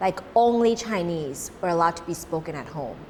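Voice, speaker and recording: A woman talks at a moderate pace with a Cantonese accent. Her pitch swings very widely. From Thailand. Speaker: social volunteer organizer. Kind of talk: interview.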